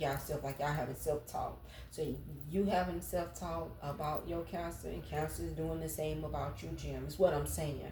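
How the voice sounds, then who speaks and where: Audible room echo follows a woman as she speaks at a moderate pace. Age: 40s. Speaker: tarot reader. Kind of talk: tarot reading. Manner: casual, rambling.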